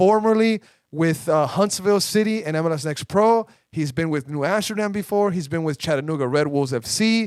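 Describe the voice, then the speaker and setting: Speaking at a moderate pace, a man with a Spanish accent uses lively intonation and a fairly high pitch. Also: dry, close sound with no echo. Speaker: soccer podcast host. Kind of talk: casual chat. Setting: studio. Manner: animated.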